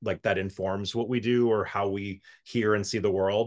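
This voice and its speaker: An unremarkable speaking voice from a man with an American accent, fairly low in pitch, in a dry, close sound with no echo and a quiet background. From South Florida. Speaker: musical arranger and orchestrator. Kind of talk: casual interview chat.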